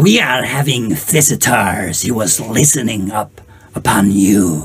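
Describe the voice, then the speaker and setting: A man puts on a character voice at a medium pitch. He goes at a fairly slow pace. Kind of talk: game master voicing a monster. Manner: smug, gloating.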